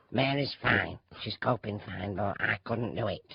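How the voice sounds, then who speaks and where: A put-on character voice at a moderate pace with ordinary pitch variation. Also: man, medium pitch for a man. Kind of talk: man playing a woman, radio comedy. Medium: audio drama. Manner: flustered, apologetic, chatty.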